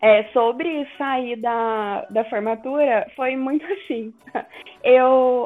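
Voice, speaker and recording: A woman's high-pitched voice. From Minas Gerais, Brazil. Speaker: podcast guest. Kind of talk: casual chat.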